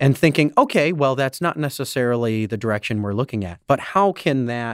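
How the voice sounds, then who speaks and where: A man with a normal speaking voice, medium pitch and lively intonation at a fairly quick pace, dry and close with no echo, on a very clean recording with a silent background. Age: 30s. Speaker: comedy producer and improv performer. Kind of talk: interview.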